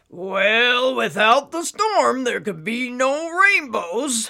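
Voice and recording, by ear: A put-on character voice, raspy and high-pitched, with a female-sounding tone. The pace is very slow.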